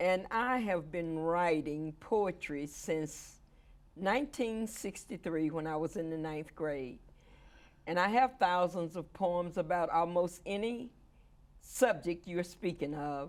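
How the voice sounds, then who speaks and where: On a very clean recording with a silent background, a voice with an American accent moves at a very slow pace with lively intonation. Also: woman, fairly low pitch for a woman. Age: 70s. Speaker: poet and activist. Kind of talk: interview.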